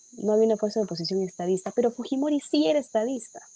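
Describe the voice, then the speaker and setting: This is a woman with a plain, everyday voice. Her pitch is fairly high, with ordinary variation. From Peru. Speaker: politician. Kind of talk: political discussion. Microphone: too quiet.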